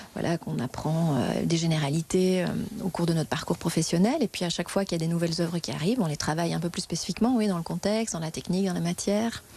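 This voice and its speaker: A woman's fairly low voice with ordinary pitch variation at a very fast pace, over noticeable background noise. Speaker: museum guide. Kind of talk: interview.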